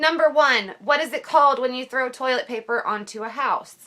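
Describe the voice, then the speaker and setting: A raised, projected woman's voice, high in pitch, with an American accent and ordinary pitch variation. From southern Ohio. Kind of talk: casual talk to camera.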